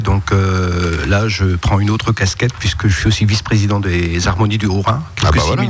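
With noticeable background noise behind him, a man speaks at a fairly quick pace with hardly any pauses, a fairly low pitch, ordinary pitch variation and very even loudness. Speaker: leader of a music society with a youth orchestra. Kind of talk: radio interview.

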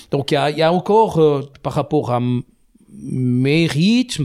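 This man talks at a very slow pace. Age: 50s. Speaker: IT company director. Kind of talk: casual interview.

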